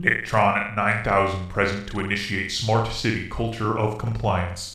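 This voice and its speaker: A man's put-on, robotic character voice, fairly low in pitch, at a moderate pace with slight echo. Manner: flat, announcement-like.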